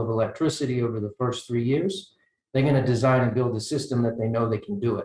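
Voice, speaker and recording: Speaking in an American accent, a man has a somewhat breathy voice with a dark, mellow tone. His medium pitch carries fairly even intonation. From United States. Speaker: energy researcher, panelist. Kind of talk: panel discussion. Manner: halting, many fillers and repetitions.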